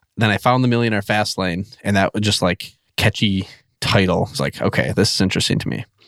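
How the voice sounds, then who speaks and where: Someone with an American accent talks fairly quickly in an ordinary speaking voice with ordinary pitch variation, the sound dry and close with no echo. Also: man, fairly low pitch for a man. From central Wisconsin. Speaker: podcast launch consultant. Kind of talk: interview. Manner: casual, filler-heavy.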